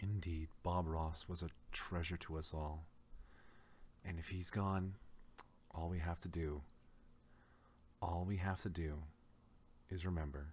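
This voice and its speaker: A man with a very deep, low pitch talks fairly slowly in a calm, relaxed tone, somewhat breathy and monotone with flat intonation, leaving long, frequent pauses. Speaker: VTuber and ASMR streamer. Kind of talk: ASMR stream, relaxed talk to audience. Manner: calm, relaxed, conversational.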